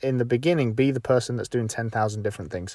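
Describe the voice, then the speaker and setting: The voice has a British accent, recorded very cleanly against a silent background with a dry, close sound and no echo. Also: man. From UK. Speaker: golf instructor and podcast host. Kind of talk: solo podcast tutorial. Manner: casual with frequent fillers.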